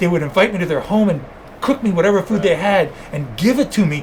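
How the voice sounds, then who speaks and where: Over noticeable background noise, a man talks in an animated tone at a very fast pace. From New York, Cuban family. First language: Spanish. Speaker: zoo wildlife expert. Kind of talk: interview. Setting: podcast.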